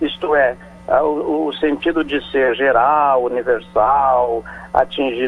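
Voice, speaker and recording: A man speaks with a fairly high pitch. Music plays in the background. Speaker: professor, etymology columnist. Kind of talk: radio explanation of word origins.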